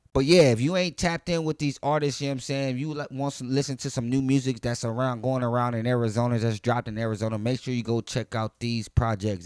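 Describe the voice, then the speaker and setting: Medium in pitch, a man talks at a fairly quick pace with ordinary pitch variation. The recording is very clean, with a silent background. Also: dry, close sound with no echo. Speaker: hip hop podcast host. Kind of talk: casual music review monologue. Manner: fast.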